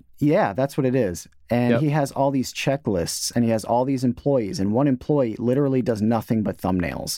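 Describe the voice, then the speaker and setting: This man has a plain, everyday voice at a medium pitch, talking at a moderate pace with hardly any pauses. His loudness stays very even, and his pitch varies an ordinary amount. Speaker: podcast host. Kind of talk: casual interview chat.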